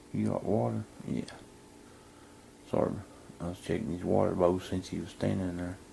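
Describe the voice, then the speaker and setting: A man with an American accent talks at a moderate pace, his very deep, low pitch making very wide swings. He leaves long, frequent pauses. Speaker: vlogger. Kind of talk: casual vlog talk. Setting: indoors then outdoors at mom's house. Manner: quiet, talking low indoors; louder outside.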